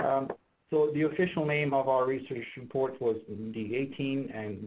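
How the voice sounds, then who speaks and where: With a somewhat breathy quality, a man's voice rises and falls in a normal way. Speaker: electrical engineer. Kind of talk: technical presentation. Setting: online webinar.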